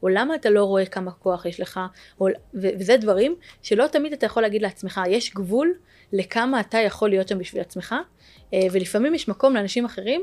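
Talking at a fairly quick pace, a woman with a medium pitch and an unremarkable speaking voice uses lively intonation. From Israel, Jerusalem. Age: 30s. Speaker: tech startup founder. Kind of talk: interview.

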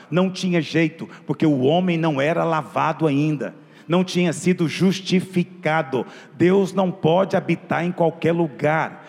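Here a man speaks in a high voice. His pace is fairly slow. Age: 30s. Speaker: pastor. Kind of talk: sermon. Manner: animated.

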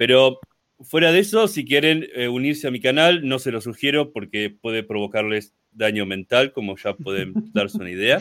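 A man speaks with a Rioplatense accent. His pitch swings very widely. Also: medium pitch for a man, moderate pace. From Argentina. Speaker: content creator. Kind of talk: casual chat.

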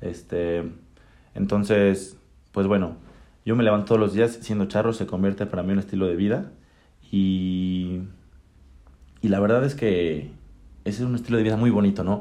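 A man's fairly low, dark, mellow voice with fairly even intonation, a moderate pace, and long, frequent pauses. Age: 20s. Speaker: young horseman and charro. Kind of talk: casual interview. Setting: at a country estate. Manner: halting, many repetitions.

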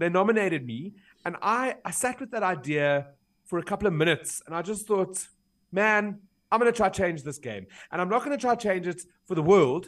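Speaking at a fairly quick pace, a man uses a high voice and lively intonation against a quiet background. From South Africa. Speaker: blogger and keynote speaker. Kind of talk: interview.

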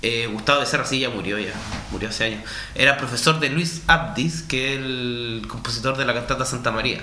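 Over noticeable background noise, a man speaks at a moderate pace with medium pitch and ordinary pitch variation. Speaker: radio co-host. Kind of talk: casual chat.

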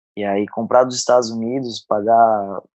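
With fairly even intonation and medium pitch, a man speaks in a normal speaking voice. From southern Santa Catarina, Brazil (Araranguá). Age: 30s. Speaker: CrossFit coach and gym owner. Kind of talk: casual interview.

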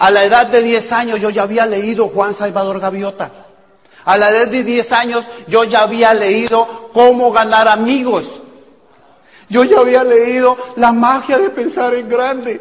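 A man's extremely high-pitched voice at a fairly slow pace, fairly even in intonation, with noticeable background noise. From Colombia. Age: 40s. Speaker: network marketing speaker. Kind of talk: motivational talk. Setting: stage with audience.

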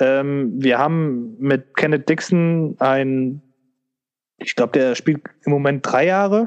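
His voice sits fairly high for a man. The pitch varies in an ordinary way. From Germany, Leverkusen (Rhineland). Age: 20s. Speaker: fan podcast co-host. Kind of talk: casual chat.

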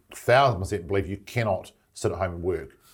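Somewhat breathy, the voice comes in a New Zealand accent at a fairly quick pace. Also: man. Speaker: business manager setting up branch offices. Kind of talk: casual interview. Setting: office in Brisbane.

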